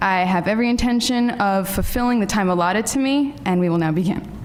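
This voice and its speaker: A woman talks at medium pitch. There is audible room echo and noticeable background noise. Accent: American. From New York. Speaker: MFA writing graduate, poet. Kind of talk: poetry reading. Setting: lecture hall with audience. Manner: loud.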